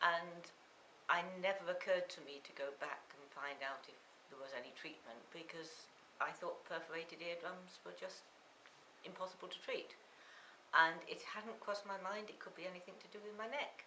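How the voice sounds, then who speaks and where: Amid audible room echo, a woman with a fairly low pitch talks at a moderate pace, showing ordinary pitch variation and big swings in loudness. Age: 60s. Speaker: patient giving testimonial. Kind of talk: testimony.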